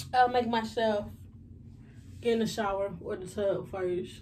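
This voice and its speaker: A woman speaks with ordinary pitch variation. There is light background noise. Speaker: vlogger. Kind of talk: casual vlog chat. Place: kitchen. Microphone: phone near.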